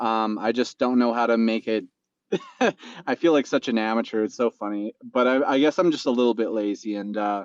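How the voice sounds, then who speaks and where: A man with a Canadian accent and a normal speaking voice, medium in pitch, with ordinary pitch variation, a fairly quick pace, and a dry, close sound with no echo. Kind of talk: casual chat.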